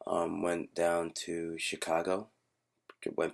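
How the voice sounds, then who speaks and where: A man speaks quietly in a very deep, low pitch. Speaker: vlogger. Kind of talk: casual vlog. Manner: quiet, hushed; hesitant, many fillers.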